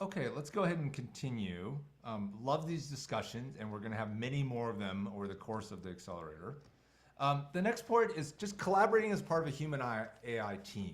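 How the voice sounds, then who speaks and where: A man with a slight non-native accent, fairly quick pace and very wide pitch swings, with audible room echo. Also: medium pitch for a man. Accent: near-native English. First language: not English. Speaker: tech company co-founder and CEO leading a webinar. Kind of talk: online webinar presentation with Q&A. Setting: video call.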